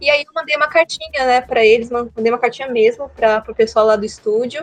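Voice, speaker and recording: A woman talks in a high voice. Music plays in the background. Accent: São Paulo. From Brazil, São Paulo city. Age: 20s. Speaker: animator. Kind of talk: casual interview. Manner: halting, many restarts.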